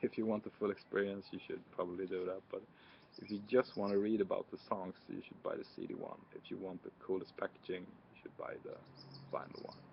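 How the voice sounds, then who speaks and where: Speaking with a Swedish accent, a man shows big swings in loudness. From Sweden. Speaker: music reviewer. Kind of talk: casual product review. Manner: hesitant, many fillers.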